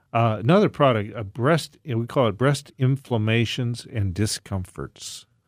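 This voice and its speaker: In a very clean recording with a silent background and a dry, close sound with no echo, a man with an unremarkable speaking voice talks at medium pitch and a moderate pace, with ordinary pitch variation and hardly any pauses. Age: 60s. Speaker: naturopathic doctor and natural products maker. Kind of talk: casual chat.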